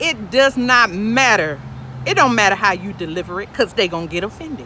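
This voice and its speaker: A woman speaks at a medium pitch and a moderate pace, with very wide pitch swings and an animated tone. Noticeable background noise runs behind her. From US, urban projects. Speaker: podcast host giving spiritual advice. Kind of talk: casual monologue, preachy. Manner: animated, repetitive fillers.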